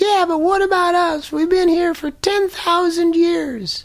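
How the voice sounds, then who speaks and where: In a put-on character voice, the speaker sounds squeaky and extremely high-pitched, moving at a fairly slow pace. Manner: dry, pointed complaint.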